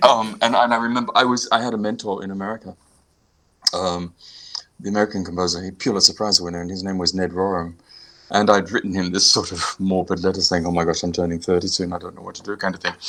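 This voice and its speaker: A man with an Australian accent and a very deep, low pitch, very fast, with fairly even intonation and big swings in loudness. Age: 60s. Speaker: composer and pianist. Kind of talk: interview. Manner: halting.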